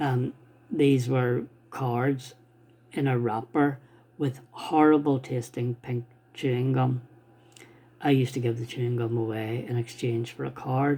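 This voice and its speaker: With an Irish accent, a man speaks at a fairly slow pace and a medium pitch in a monotone, flat intonation, leaving long, frequent pauses. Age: 60s. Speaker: stamp collector. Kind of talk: casual talk to camera. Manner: halting.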